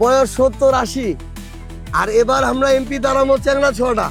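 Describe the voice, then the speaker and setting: Spoken in a northern Bangladeshi accent with monotone, flat intonation, the voice plays over music in the background. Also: man. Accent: northern Bangladeshi regional dialect. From Atwari, Panchagarh, northern Bangladesh. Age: 30s. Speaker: politician. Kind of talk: election campaign speech to local voters.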